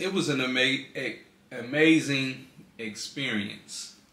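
Audible room echo hangs around a man as he speaks. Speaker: vlogger. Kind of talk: casual chat. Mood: relaxed, storytelling. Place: home room. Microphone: phone near.

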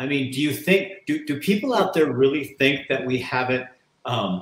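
With audible room echo in the recording, a man talks at a moderate pace in a fairly high pitch, his voice somewhat breathy and his intonation lively. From Oregon. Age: 60s. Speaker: talk show host. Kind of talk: casual interview. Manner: animated. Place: home room. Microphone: webcam.

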